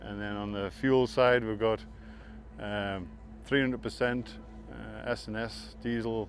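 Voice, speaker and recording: Long, frequent pauses mark the fairly slow speech of a man with a northeast English accent. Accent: northeast English, a bit Scottish-like. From northeast England. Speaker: land speed racing team owner. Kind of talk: casual interview.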